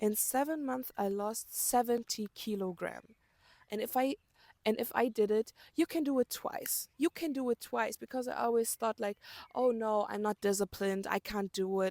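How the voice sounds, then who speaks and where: The speaker has a German accent. The sound is dry and close, with no echo. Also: woman. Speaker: self-help vlogger. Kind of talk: motivational talk to camera.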